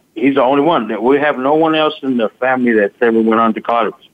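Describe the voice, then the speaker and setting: A man talks at a fairly quick pace in a plain, everyday voice. His pitch is medium, with ordinary variation. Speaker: father of the guest. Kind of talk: casual interview.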